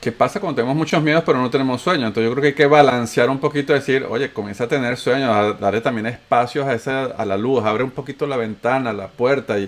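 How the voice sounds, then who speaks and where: With a Venezuelan accent, a man talks at a fairly quick pace using fairly even intonation. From Venezuela (raised), born in Antioquia, Colombia. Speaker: podcast host. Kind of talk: casual chat.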